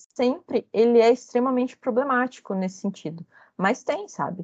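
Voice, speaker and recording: A woman speaks in a high voice with lively, bouncing intonation. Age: 30s. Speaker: researcher in communication. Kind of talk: interview.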